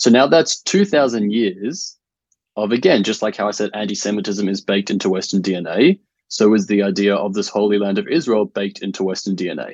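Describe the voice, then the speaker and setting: A man with an Australian accent, at a fairly quick pace with ordinary pitch variation. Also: fairly low pitch for a man. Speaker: writer. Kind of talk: interview.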